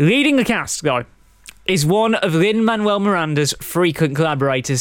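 With an English accent, a man speaks at a moderate pace, his high pitch rising and falling in lively intonation. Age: 20s. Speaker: film podcast host. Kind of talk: podcast film reviews. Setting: live recording, studio.

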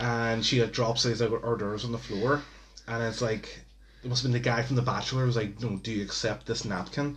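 A man of medium pitch speaks in a monotone, flat intonation at a fairly quick pace. His voice is somewhat breathy. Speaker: podcast host. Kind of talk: casual chat. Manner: casual, rambling.

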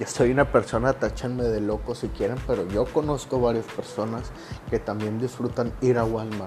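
With fairly even intonation, a man talks at a moderate pace in a medium pitch. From Monterrey, Nuevo León, Mexico. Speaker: podcaster. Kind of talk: casual monologue. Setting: home recording during quarantine.

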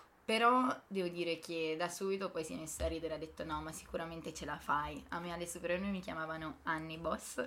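Over noticeable background noise, a woman talks at a very fast pace in a fairly low pitch with ordinary pitch variation. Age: 20s. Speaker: medical graduate and mother. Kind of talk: interview.

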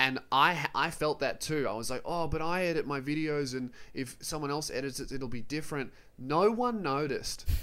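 A man with an Australian accent, a fairly high pitch, and a bright, sharp tone at a moderate pace. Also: ordinary pitch variation. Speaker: comedian and YouTuber. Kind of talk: casual chat. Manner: irreverent, joking, swears a lot.

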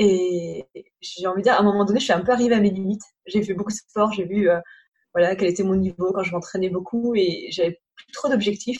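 Her somewhat breathy, medium-pitched voice moves at a fairly quick pace with fairly even intonation, as this woman shows big swings in loudness. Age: 30s. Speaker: travel blogger and entrepreneur. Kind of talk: casual interview.

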